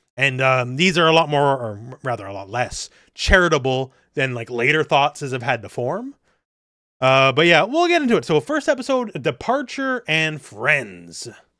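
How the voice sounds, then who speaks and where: On a very clean recording with a silent background, a man with a Canadian accent speaks at a moderate pace in a bright, sharp tone, his fairly high voice showing lively intonation and big swings in loudness. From Quebec, Canada (English-speaking). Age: 40s. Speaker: podcast host. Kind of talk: casual chat. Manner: many fillers and hesitations.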